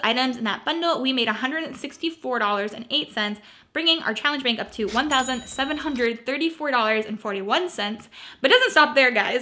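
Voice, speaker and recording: A woman speaks in a raised, projected voice with a bright, sharp tone. Her intonation is lively and her pace fairly quick. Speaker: thrift reseller vlogger. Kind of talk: casual vlog chat. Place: home room. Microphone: phone near.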